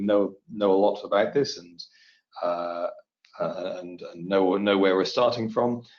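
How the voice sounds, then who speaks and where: With a British accent, a man speaks at a fairly low pitch. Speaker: materials testing specialist. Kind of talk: webinar presentation. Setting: webinar. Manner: hesitant, many fillers.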